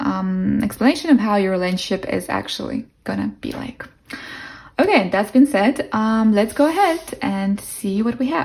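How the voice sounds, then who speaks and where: With music in the background, someone speaks at a moderate pace in a non-native accent. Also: woman. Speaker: tarot reader. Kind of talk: tarot reading to camera. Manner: casual, warm.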